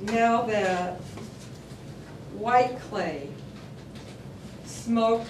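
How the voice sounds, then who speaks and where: Very slow speech from a woman with a fairly high pitch, over noticeable background noise. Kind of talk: poetry reading. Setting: live venue.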